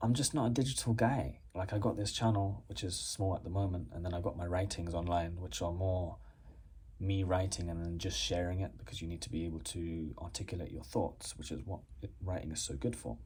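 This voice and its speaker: The speaker has an English accent and a somewhat breathy sound. Delivery is fairly quick, with lively intonation. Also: man, very deep, low pitch for a man. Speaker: postgraduate student and YouTuber. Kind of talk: casual vlog response to a viewer question. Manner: casual, hesitant with many fillers.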